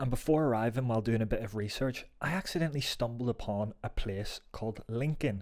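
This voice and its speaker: Recorded very cleanly against a silent background, a man with a Northern Irish accent speaks with ordinary pitch variation. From Northern Ireland, Belfast. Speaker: football vlogger. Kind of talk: travel vlog narration.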